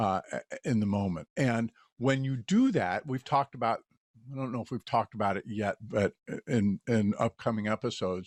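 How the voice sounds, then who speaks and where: Here a man has a normal speaking voice, medium in pitch, moving at a moderate pace with ordinary pitch variation. The sound is dry and close with no echo, very clean, over a silent background. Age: 60s. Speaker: podcast host. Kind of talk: casual chat.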